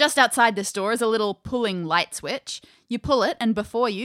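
An unforced reading voice carries the clip.

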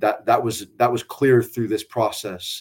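The speaker has an American accent and a moderate pace. The intonation is monotone and flat. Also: man. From South Texas, San Antonio area. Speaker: college soccer coach. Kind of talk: casual interview. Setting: video call.

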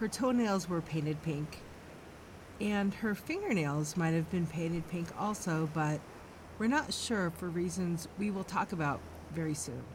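This woman has a normal speaking voice, pitched fairly low, with ordinary pitch variation. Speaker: true crime podcast host. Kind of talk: true-crime narration, measured and serious, reading a scripted case account. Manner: solemn, steady, formal.

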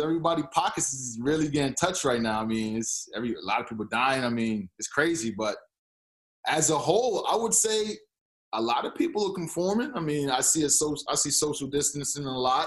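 A man's fairly high, quick voice with very wide pitch swings. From New York (born Boston). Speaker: former athlete, Toronto resident. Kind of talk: casual interview.

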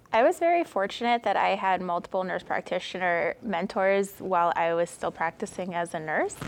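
With music in the background, a woman with an American accent speaks at a moderate pace and medium pitch, with ordinary pitch variation and hardly any pauses. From Connecticut, New Haven. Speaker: nurse practitioner. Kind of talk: interview. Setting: at a conference.

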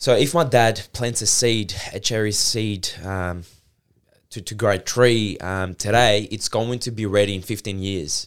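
A man with a Greek accent and fairly low pitch speaks at a fairly slow pace, with ordinary pitch variation and big swings in loudness, in a very clean recording with a silent background. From Greece. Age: 20s. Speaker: fitness entrepreneur. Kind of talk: casual interview. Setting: in-person recording.

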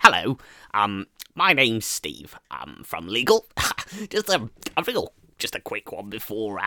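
A man at medium pitch talks at a fairly slow pace, with long, frequent pauses. The recording is very clean, with a silent background. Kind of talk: comedy sketch. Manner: brisk, formal, apologetic.

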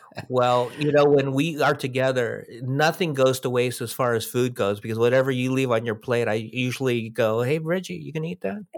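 This man has an unremarkable speaking voice at a medium pitch. His pace is moderate, with ordinary pitch variation. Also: hardly any pauses. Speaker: podcast co-host. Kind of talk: casual chat.

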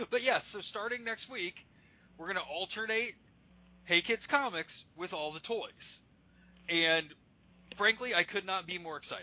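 Delivered at a moderate pace with ordinary pitch variation, the speech has big swings in loudness and long, frequent pauses. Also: man, high pitch for a man. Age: 40s. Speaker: comic book podcast co-host. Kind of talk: casual chat.

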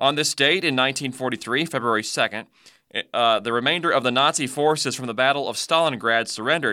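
At a fairly quick pace, a man speaks in a warm, upbeat, bright and sharp tone, at a medium pitch with ordinary pitch variation, on a very clean recording with a silent background.

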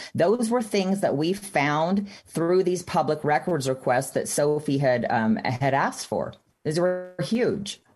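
A woman with an American accent and an ordinary speaking voice, fairly low in pitch, with lively intonation, very even loudness and hardly any pauses. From Texas. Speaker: activist mother. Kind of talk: interview.

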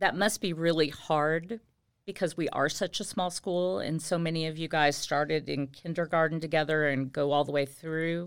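A woman's ordinary speaking voice with an American accent, fairly low in pitch, at a moderate pace in a very clean recording with a silent background. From Indiana, US Midwest. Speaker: high school Spanish teacher. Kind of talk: casual interview. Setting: school podcast.

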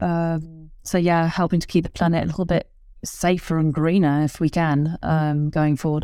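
A woman's fairly low, dark, mellow voice with an English accent, very even loudness, monotone, flat intonation and a moderate pace, in a very clean recording with a silent background. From England. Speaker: ski patroller and children's author. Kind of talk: interview. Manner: halting, many fillers.

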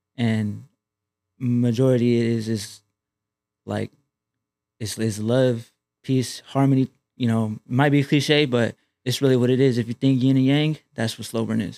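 A man talks at a fairly slow pace and a medium pitch, with long, frequent pauses and a dark, mellow tone. His intonation is monotone and flat, and the sound is dry and close with no echo. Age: 20s. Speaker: rapper. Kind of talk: casual chat.

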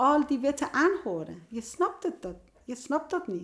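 This is a very clean recording of a woman against a silent background. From Iran. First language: Persian (speaking Dutch). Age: 50s. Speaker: youth care worker and author. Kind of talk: casual interview. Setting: at a kitchen table. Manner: halting.

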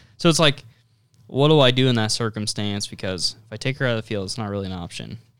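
On a very clean recording with a silent background, a man talks very fast. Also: medium pitch for a man, ordinary pitch variation. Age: 20s. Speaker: podcast host, hunter. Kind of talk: casual chat.

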